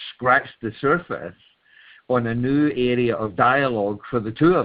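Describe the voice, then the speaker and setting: In a Scottish accent, a man talks at a moderate pace and medium pitch, with ordinary pitch variation. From Scotland. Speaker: webinar participant. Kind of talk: call-in comment in group discussion. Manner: halting, many repeated words.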